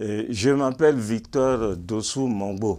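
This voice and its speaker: Speaking at a very slow pace, a man with a medium pitch uses lively intonation. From Benin. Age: 70s. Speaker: church convert giving testimony. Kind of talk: testimony. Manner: halting, frequent hesitations.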